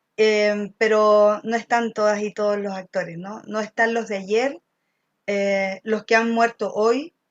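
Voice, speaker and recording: A woman's normal speaking voice, fairly high and fairly even in intonation, at a fairly slow pace, with a dry, close sound with no echo and a quiet background. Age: 50s. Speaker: political candidate. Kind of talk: candidate interview.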